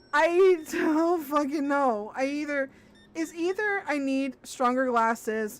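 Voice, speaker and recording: Over music in the background, a woman speaks at a very slow pace in a high voice with ordinary pitch variation. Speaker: gaming streamer. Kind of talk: casual chat. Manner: stammers when nervous; chewing gum.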